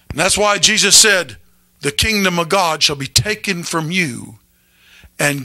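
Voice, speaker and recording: Over a quiet background, a man speaks very slowly in a raised, projected voice, high in pitch with a bright, sharp tone. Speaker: pastor. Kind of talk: sermon to a live congregation. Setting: church with congregation. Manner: animated, call-and-response preaching, pausing for amens; emphatic, conversational. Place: church. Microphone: handheld.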